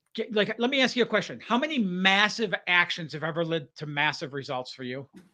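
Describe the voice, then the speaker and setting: A raised, projected voice with a bright, sharp tone and an American accent, at a moderate pace against a quiet background. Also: man. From Michigan, outside Detroit. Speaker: life coach. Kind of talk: podcast interview.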